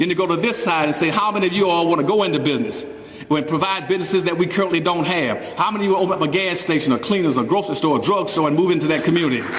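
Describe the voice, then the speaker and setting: Over noticeable background noise and audible room echo, a man speaks at a very fast pace in a high pitch, with an animated tone and ordinary pitch variation. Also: very even loudness. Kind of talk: public speech.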